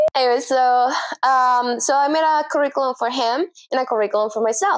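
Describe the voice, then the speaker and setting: A woman with a Spanish accent, high-pitched, at a moderate pace with ordinary pitch variation. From Venezuela. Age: 30s. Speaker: self-taught graphic designer and brand strategist. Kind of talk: casual vlog talk to camera. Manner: animated, rambling with fillers.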